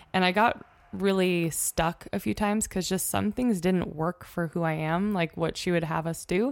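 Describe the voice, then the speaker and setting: Heard in a very clean recording with a silent background, a woman uses an ordinary speaking voice, fairly low in pitch, with ordinary pitch variation and a moderate pace. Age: 20s. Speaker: yoga instructor and small business owner. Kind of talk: casual interview chat.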